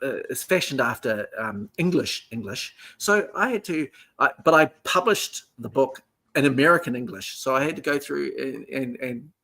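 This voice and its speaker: A man speaks with a strong New Zealand accent. His pitch is fairly high and his intonation lively. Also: moderate pace. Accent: heavy New Zealand. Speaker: author and historian. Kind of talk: interview. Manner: hesitant, repeats words.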